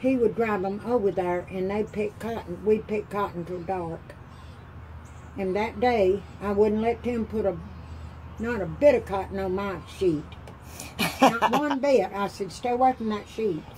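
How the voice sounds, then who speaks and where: Long, frequent pauses break up the speech. Light background noise can be heard. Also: woman, ordinary pitch variation, moderate pace. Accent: Appalachian. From Appalachia. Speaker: grandmother telling stories. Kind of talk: interview answer. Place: home room. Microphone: phone near.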